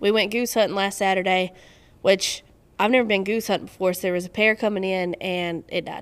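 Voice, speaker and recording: A woman with a North Carolina accent talks at a fairly quick pace and medium pitch, her intonation fairly even. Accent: Southern US (North Carolina). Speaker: duck hunter and photographer. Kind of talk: casual chat.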